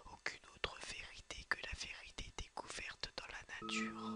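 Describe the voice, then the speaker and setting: Noticeable background noise is present. Beneath it, a man whispers at a fairly slow pace. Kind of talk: ASMR whispered screen tour. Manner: whispered.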